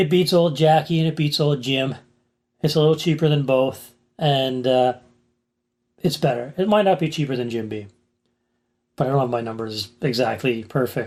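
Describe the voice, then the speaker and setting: In a very clean recording with a silent background, a man with a fairly high pitch speaks at a moderate pace, showing ordinary pitch variation and taking long, frequent pauses. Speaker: whiskey reviewer. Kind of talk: casual product review. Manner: loud at times; casual, hesitant.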